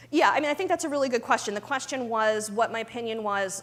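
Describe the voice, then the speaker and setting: Over noticeable background noise, a woman talks at a fairly high pitch with ordinary pitch variation. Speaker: pharma compliance director. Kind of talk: conference talk with Q&A. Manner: fast; many fillers (um, you know).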